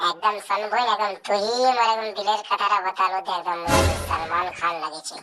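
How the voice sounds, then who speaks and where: A cartoonish character voice sits at a middle pitch. It moves at a fairly quick pace. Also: female-sounding voice. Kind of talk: comic cartoon dubbing. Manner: boastful, quick to take offense.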